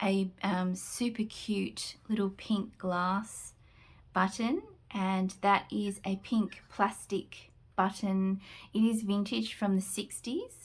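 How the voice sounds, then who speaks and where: On a very clean recording with a silent background, a woman speaks at a very slow pace. Her voice is somewhat breathy and medium-pitched, with fairly even intonation. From Australia. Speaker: junk journal crafter. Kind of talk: product flip-through tutorial. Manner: casual, hesitant with frequent fillers.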